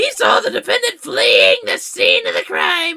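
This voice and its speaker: Someone performs a raspy, put-on character voice at a moderate pace. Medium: game stream.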